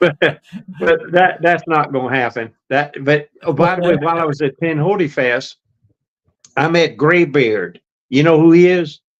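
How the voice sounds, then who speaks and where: Speaking with a Southern US accent, a man keeps an even, moderate tempo. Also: fairly high pitch for a man, ordinary pitch variation. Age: 80s+. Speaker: retired hiker and YouTuber. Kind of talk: casual chat. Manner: halting.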